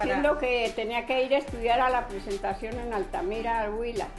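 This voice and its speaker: A woman talks in a fairly high voice. Background music accompanies her. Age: 80s+. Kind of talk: storytelling interview answer.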